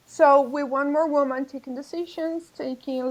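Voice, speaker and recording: A woman speaks at a high pitch and a fairly slow pace. Her intonation stays fairly even. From Colombia. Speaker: policy analyst and project manager. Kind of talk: interview conversation. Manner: halting, repeats words.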